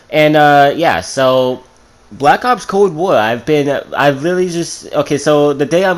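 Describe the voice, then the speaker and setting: The man's voice is fairly high, and its pitch varies in an ordinary way. He talks fairly slowly. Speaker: gaming YouTuber. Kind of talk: unscripted video commentary. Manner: halting, tripping over words.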